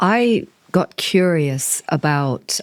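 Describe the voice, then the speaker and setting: Recorded very cleanly against total silence, the sound is close and dry without any echo. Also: woman. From Kenya. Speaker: podcast host. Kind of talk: interview.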